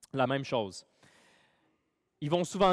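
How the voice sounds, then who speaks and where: The speaker has a Quebec accent and lively intonation at a moderate pace. The recording is very clean with a silent background and a dry, close sound with no echo. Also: man. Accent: Québécois French. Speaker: pastor. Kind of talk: sermon. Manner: casual with many fillers.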